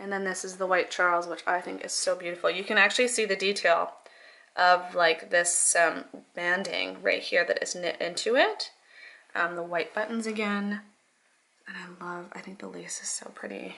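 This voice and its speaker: Soft-spoken, a woman talks at a moderate pace with big swings in loudness and long, frequent pauses. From Canada. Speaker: fashion vlogger. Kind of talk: casual haul and try-on video. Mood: upbeat, enthusiastic. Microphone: phone near.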